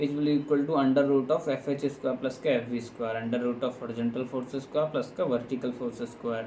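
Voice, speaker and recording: The delivery is monotone and flat in intonation, moving at a fairly quick pace with hardly any pauses over noticeable background noise. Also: man, medium pitch for a man. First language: non-native English speaker. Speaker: engineering tutor. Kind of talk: lecture tutorial.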